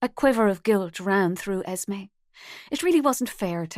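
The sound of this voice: The backdrop stays quiet. Lively intonation colors an unforced reading voice.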